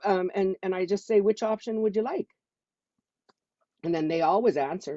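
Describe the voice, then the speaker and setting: This is a woman with a medium-pitched voice. Her pitch varies in an ordinary way. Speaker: network marketing distributor. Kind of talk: testimony. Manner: fast.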